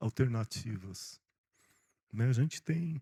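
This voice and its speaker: The man's voice is dark, mellow and somewhat breathy at a medium pitch. It sounds dry and close, with no echo. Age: 60s. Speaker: pastor. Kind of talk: sermon. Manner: animated.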